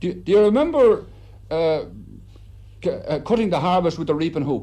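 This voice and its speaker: High pitch for a man, paired with a dark, mellow tone. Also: lively intonation, moderate pace. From Ireland. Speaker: reporter. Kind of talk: broadcast interview questions.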